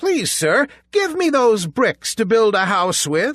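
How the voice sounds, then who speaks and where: A man uses a put-on character voice at a high pitch. He speaks at a fairly slow pace with very wide pitch swings. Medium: read story.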